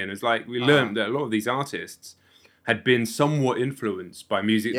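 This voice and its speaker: A man speaks with a southern English accent. His intonation stays fairly even. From south coast of England. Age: 40s. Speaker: music YouTuber and reviewer. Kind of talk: casual interview chat.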